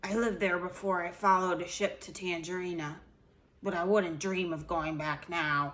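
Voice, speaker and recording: Putting on a croaky character voice, a woman talks at a fairly low pitch and a moderate pace with fairly even intonation. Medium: read story.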